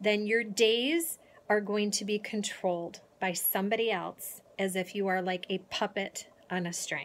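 This woman speaks at a fairly slow pace with ordinary pitch variation. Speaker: motivational speaker. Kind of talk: motivational vlog talk. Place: home room. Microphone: phone near.

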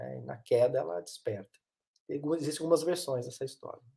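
A man's voice moves at a moderate pace over a quiet background. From Minas Gerais, Brazil (Varginha); Minas Gerais, Brazil. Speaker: psychoanalyst and therapist; guest. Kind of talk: interview conversation. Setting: live stream. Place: home room.

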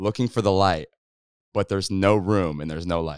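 Over a quiet background, a man talks at a fairly low pitch with ordinary pitch variation in a dry sound with no echo. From Kansas, rural. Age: 20s. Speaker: YouTuber and musician; YouTuber. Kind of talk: casual chat. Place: studio. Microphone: handheld.

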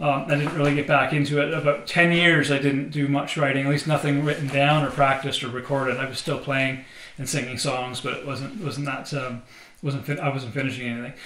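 A man speaks at a fairly high pitch with monotone, flat intonation. Room echo is audible, along with light background noise. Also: fairly quick pace. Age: 40s. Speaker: singer-songwriter. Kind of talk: casual vlog monologue. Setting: home studio. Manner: halting, many fillers. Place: studio.

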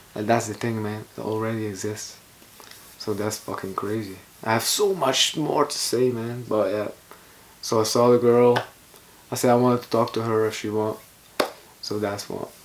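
A man's medium-pitched voice with fairly even intonation and long, frequent pauses, against noticeable background noise. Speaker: vlogger. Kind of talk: casual vlog monologue. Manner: slow.

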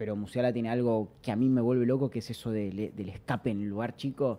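The speaker is a man with a dark, mellow tone. He moves along at a fairly quick pace. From Argentina. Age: 20s. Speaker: streamer and football fan guest; podcast guest. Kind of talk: casual chat. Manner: animated. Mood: relaxed, enthusiastic about football. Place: studio. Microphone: studio mic.

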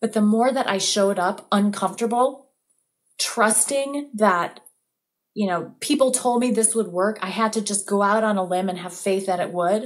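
In a quiet background, a woman speaks at medium pitch and a moderate pace, with ordinary pitch variation. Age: 40s. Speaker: recovery advocate and therapist; podcast guest. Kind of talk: interview testimony. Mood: earnest, reflective. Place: home room. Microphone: webcam.

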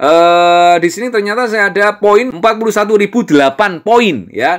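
A man with an East Javanese accent in an animated, angry tone, on a very clean recording with a silent background. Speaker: crypto YouTuber. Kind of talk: casual tutorial. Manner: intonation sounds like angry arguing.

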